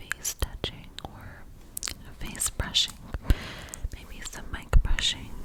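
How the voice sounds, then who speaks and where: Amid noticeable background noise, a woman whispers at a very slow pace. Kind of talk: ASMR whisper ramble to camera. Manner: whispered, soft, intimate.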